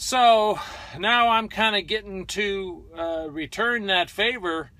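Recorded dry with no echo, a man uses a raised, projected voice at a very slow pace. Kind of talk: casual vlog chat. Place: car. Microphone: phone near.

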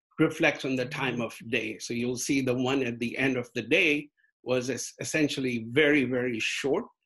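The background is quiet. A man talks at a moderate pace with fairly even intonation. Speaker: guest lecturer. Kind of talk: lecture. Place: home room. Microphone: video call.

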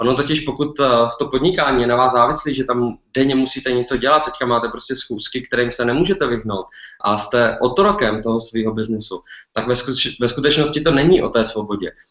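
Against a quiet background with audible room echo, a man talks at a fairly quick pace with ordinary pitch variation. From Czech Republic. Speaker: entrepreneur, clothing business owner. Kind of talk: webinar talk. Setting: online webinar. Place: home room. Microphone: webcam.

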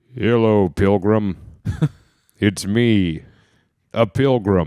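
This man uses a put-on character voice, pitched fairly low with ordinary pitch variation. He speaks at a very slow pace. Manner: comic, mock-archaic.

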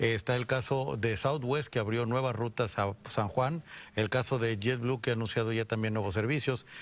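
A moderate pace and ordinary variation in pitch. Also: man. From Mexico, Guadalajara; Jalisco, Mexico. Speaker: airport company executive; guest. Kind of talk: TV interview. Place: studio. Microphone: lapel.

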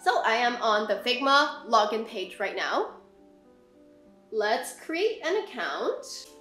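Over faint background music and audible room echo, a woman speaks at a very slow pace with very wide pitch swings. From England and Hong Kong. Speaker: product designer. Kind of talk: software tutorial narration. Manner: casual, friendly. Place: home room.

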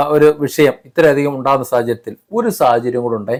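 A man speaks with ordinary pitch variation. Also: very clean recording, silent background. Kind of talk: opinion monologue to camera.

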